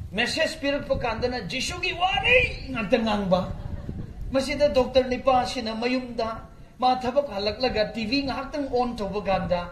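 A man with an extremely high pitch and ordinary pitch variation talks at a moderate pace, with audible room echo and light background noise. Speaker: preacher. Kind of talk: sermon. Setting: church. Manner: animated. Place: stage. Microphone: camera far.

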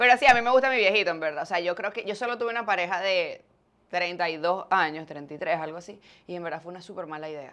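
A very fast, lively woman's voice, fairly low in pitch, bright and sharp in tone, with big swings in loudness. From Venezuela, Maracay and Valencia; Venezuela. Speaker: podcaster and fitness influencer; podcaster, fitness influencer. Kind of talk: casual interview. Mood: candid, chatty, confessional. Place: studio. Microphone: lapel.

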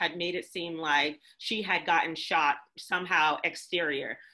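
A woman with a bright, sharp tone at a fairly slow pace, against a quiet background. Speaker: event co-organizer; discussion host or panelist. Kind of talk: panel discussion. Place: home room. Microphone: video call.

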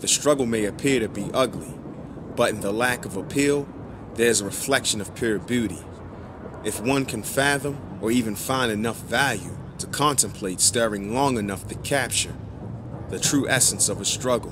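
A man talks at a moderate pace in a medium pitch with ordinary pitch variation. Noticeable background noise runs behind him. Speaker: spoken word poet. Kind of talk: spoken word poetry.

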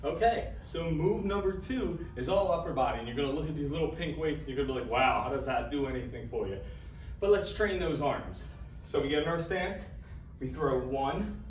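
Over faint background music and audible room echo, a man speaks at a fairly quick pace. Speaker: fitness trainer. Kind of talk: tutorial. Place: gym. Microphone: camera far.

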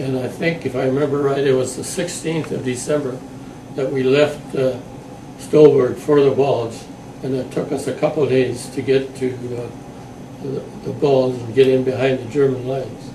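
A man speaks at a medium pitch and a moderate pace, his intonation flat and monotone. Noticeable background noise runs under his voice. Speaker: WWII veteran. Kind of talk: oral history interview answer. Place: home room. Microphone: camera far.

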